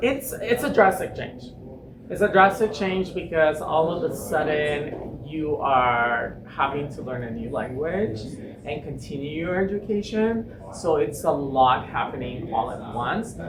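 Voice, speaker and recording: A speaker with a Spanish accent talks at a fairly slow pace with very wide pitch swings and big swings in loudness, amid noticeable background noise and audible room echo. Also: man, fairly high pitch for a man. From Mexico. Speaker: pageant titleholder and drag performer. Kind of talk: casual interview. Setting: theater venue.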